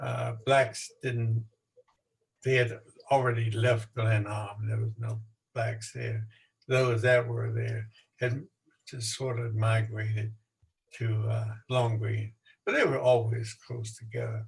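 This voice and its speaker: At a very slow pace with long, frequent pauses, a man speaks in a somewhat breathy, medium-pitched voice with monotone, flat intonation. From Baltimore, Maryland. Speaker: local historian and author, military veteran. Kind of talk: storytelling talk at a virtual event.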